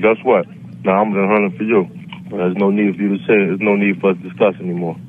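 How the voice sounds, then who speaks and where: A very fast pace from a man with fairly low pitch and ordinary pitch variation. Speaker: prank call target. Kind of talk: phone call. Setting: phone call. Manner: calm, unflinching.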